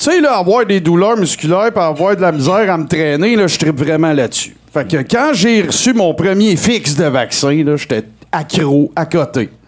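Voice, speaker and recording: Over noticeable background noise, a man with a high pitch talks at a moderate pace with lively intonation, hardly any pauses and very even loudness. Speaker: comedy segment performer. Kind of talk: live comedic chronicle.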